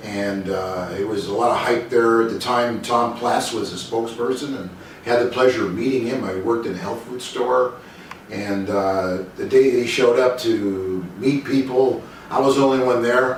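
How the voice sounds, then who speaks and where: A man talks at a medium pitch and a moderate pace, with ordinary pitch variation. Noticeable background noise and audible room echo fill the recording. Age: 60s. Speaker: bodybuilder and vlogger. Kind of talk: personal talk to camera. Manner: halting, many fillers.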